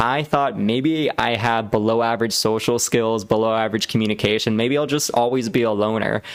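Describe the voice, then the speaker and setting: The pace here is fairly quick, and the pitch varies in an ordinary way. It is a normal speaking voice. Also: man. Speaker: public speaking coach. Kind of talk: tutorial presentation to camera.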